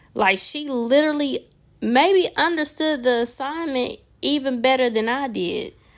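A woman with a high-pitched voice talks at a fairly slow pace. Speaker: nail artist. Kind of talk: casual talk to camera.

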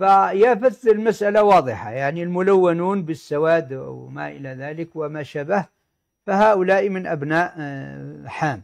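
Against a quiet background, a man with a high pitch talks very slowly, his intonation lively and his loudness swinging widely. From Algeria. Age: 60s. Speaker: sociology professor. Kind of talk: lecture-style interview. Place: office.

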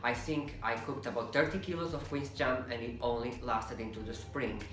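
A man at a moderate pace with ordinary pitch variation, audible room echo and faint music in the background. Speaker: home cook vlogger. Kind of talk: casual cooking tutorial. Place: kitchen.

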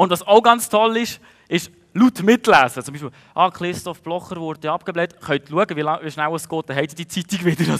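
Over a quiet background, the speech moves at a fairly quick pace. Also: man, high pitch for a man, ordinary pitch variation. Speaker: stage comedian. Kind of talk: stand-up comedy monologue. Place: stage. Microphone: headset.

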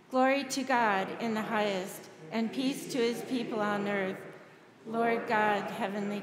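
The speech moves at a fairly slow pace. Background noise is noticeable throughout. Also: woman. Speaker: priest leading a service. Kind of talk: liturgical reading. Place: church.

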